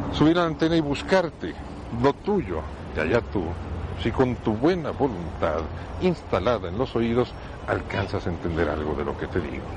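A man talks at a moderate pace with a fairly low pitch and very wide pitch swings. Long, frequent pauses break up his speech over noticeable background noise. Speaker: radio host. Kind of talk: monologue. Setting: outdoors in a public square.

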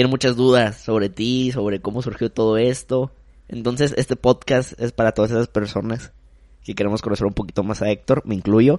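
An unremarkable speaking voice from a man at medium pitch, talking at a fairly quick pace with fairly even intonation. The sound is dry and close, with no echo. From Mexico, Acapulco. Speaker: marketing professional. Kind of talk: casual chat.

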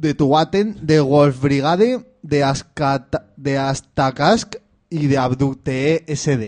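This man talks at a very slow pace in a fairly high pitch with ordinary pitch variation. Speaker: community radio host. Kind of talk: casual chat. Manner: loud.

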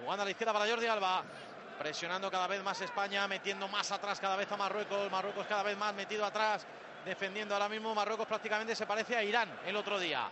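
Over noticeable background noise, a man with a high pitch rushes at a very fast pace, monotone and flat in intonation, his loudness very even. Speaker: match commentator. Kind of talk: live play-by-play sports commentary. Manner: fast, rattling off passes and players' names in a breathless running patter.

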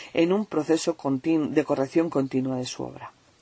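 A woman speaks at a moderate pace with a very deep, low pitch and a dark, mellow tone. The sound is dry and close with no echo, over a quiet background. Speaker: poet reading her work. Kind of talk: poetry reading.

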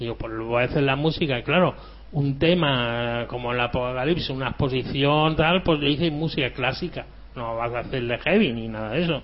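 A man talks at a moderate pace with ordinary pitch variation and a medium pitch. He has a plain, everyday voice. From Andalusia, Spain. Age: 50s. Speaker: electronic musician. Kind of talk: interview.

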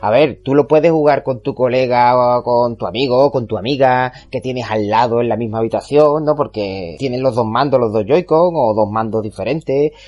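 This is a man with an ordinary speaking voice and a medium pitch. He talks at a moderate pace with ordinary pitch variation and hardly any pauses. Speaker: video game podcast host. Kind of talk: casual chat.

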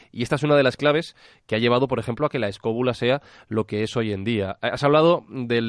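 A man at medium pitch and a very fast pace, with ordinary pitch variation, a quiet background and a dry, close sound with no echo. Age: 30s. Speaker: podcaster. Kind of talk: interview. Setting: Skype call.

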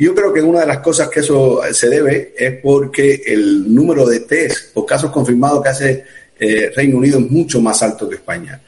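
With a plain, everyday voice, a man talks at a moderate pace in a fairly high pitch with ordinary pitch variation. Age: 40s. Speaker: emergency doctor. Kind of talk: live-streamed interview. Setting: video call.

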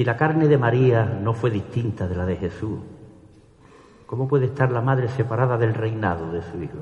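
In a solemn tone, a man speaks at medium pitch and a moderate pace, somewhat breathy, with ordinary pitch variation. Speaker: ceremonial orator. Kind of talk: ceremonial oratory: solemn, devout pregón addressed to the Virgin and the congregation. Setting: church with audience. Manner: formal, solemn and fervent, measured pace with reverent, emotional delivery.

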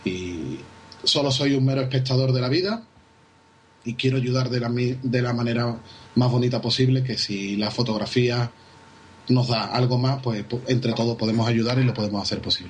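There is noticeable background noise as a man at medium pitch talks with fairly even intonation and long, frequent pauses. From Spain, Seville. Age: 30s. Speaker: wedding photographer. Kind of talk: interview. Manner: fast.

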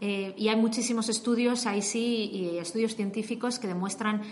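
A woman speaks at a moderate pace with a fairly high pitch. Audible room echo and noticeable background noise are present. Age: 30s. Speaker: investigative data journalist. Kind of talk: interview.

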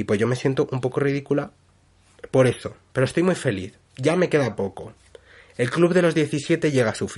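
Here a man speaks in a somewhat breathy voice with lively intonation. His pace is moderate, with long, frequent pauses. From Spain. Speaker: podcaster. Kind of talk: casual monologue.

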